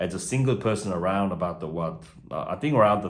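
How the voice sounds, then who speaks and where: With a non-native accent, a man speaks at a very deep, low pitch and a fairly quick pace, with ordinary pitch variation and audible room echo. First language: not English. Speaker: migration agent. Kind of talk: video tutorial. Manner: halting, many fillers.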